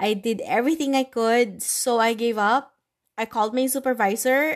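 With a Filipino accent, a woman speaks at a moderate pace and a fairly high pitch against a quiet background. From Philippines. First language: Tagalog. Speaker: podcaster. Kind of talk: casual monologue mixing English and Tagalog. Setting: at home, recording alone.

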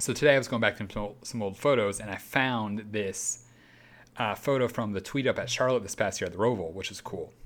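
This man has an unremarkable speaking voice at a medium pitch with ordinary pitch variation. He talks at a fairly quick pace. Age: 20s. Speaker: racing podcast host. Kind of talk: casual chat. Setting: home studio.

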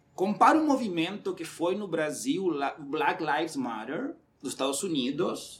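Delivered at a moderate speed, the speech carries lively intonation. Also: man. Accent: Uruguayan. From Uruguay. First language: Spanish (speaking Portuguese). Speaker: recruitment manager. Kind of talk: casual chat.

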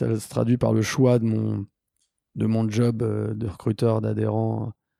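Against a silent background, this very clean recording captures a man's voice. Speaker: social entrepreneur. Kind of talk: interview. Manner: halting, many repetitions.

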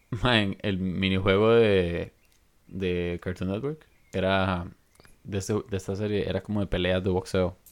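A man speaks with a very deep, low pitch and fairly even intonation. His pace is fairly slow. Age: 20s. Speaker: podcast co-host. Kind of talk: casual chat.

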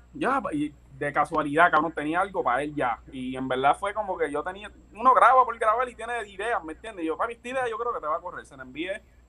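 A man's raised, projected voice, high-pitched and fairly quick, with very wide pitch swings, big swings in loudness and noticeable background noise. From Puerto Rico, Levittown; partly raised abroad (army family). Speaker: music producer and rapper. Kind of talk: casual interview chat.

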